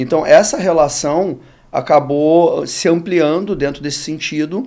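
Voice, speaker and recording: A dark, mellow tone carries this speech at a fairly slow pace. Its pitch shows ordinary variation. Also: man, fairly high pitch for a man. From Rio de Janeiro, Brazil. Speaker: sports marketing executive. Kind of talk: podcast interview. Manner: casual, with some hesitations.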